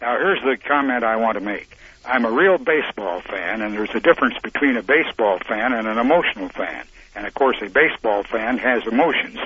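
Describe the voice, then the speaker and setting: A man with an American accent talks at a fairly quick pace with lively intonation, over noticeable background noise. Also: medium pitch for a man. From Montana. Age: 80s+. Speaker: caller. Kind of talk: sports call-in opinion. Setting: phone call.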